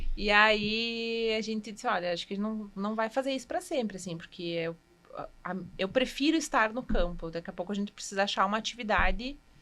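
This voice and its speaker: A woman's bright, sharp voice, fairly high in pitch, with ordinary pitch variation and a fairly quick pace. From Rio Grande do Sul, Passo Fundo. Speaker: cheesemaker. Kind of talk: podcast interview.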